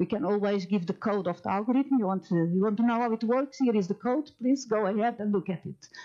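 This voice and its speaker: Against a quiet background, a woman speaks with lively intonation and a dark, mellow tone. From Portugal. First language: Portuguese. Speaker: AI ethics professor. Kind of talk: lecture. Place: hall. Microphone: headset.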